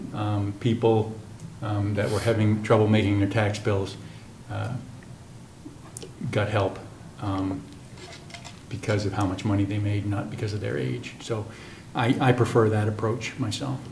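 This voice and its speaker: The speaker moves at a fairly slow pace with long, frequent pauses and fairly even intonation, amid audible room echo and noticeable background noise. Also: man, fairly low pitch for a man. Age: 60s. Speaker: town councilor. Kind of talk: town meeting discussion. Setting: council meeting.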